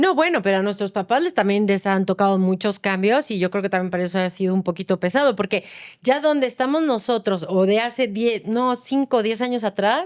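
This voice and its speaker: A woman with an ordinary speaking voice talks at a fairly quick pace in a medium pitch, leaving hardly any pauses. Her loudness stays very even, and her pitch variation is ordinary. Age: 50s. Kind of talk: casual podcast conversation.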